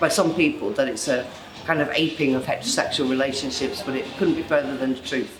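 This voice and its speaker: Music plays in the background as a woman talks. She has a British accent and lively intonation. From UK. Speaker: poet. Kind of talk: interview answer.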